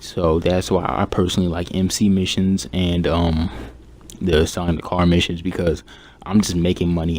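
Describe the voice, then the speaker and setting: Quiet, very deep, low male voice at a moderate pace, monotone and flat. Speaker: gaming youtuber. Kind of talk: casual gaming advice talk. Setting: at home. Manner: subdued, keeping quiet.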